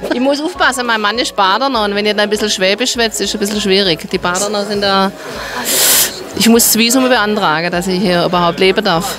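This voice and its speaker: Noticeable background noise behind a woman at a fairly quick pace. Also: ordinary pitch variation, dry sound with no echo. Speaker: interviewed passer-by. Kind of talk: street interview answer. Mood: amused, joking. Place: cafe. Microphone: handheld.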